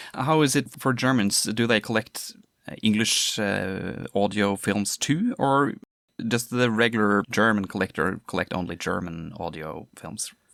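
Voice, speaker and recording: In a Norwegian accent, the speech comes at a fairly slow pace with ordinary pitch variation, dry and close with no echo in a very clean recording with a silent background. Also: man, fairly low pitch for a man. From Norway. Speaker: podcast host. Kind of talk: podcast interview. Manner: halting.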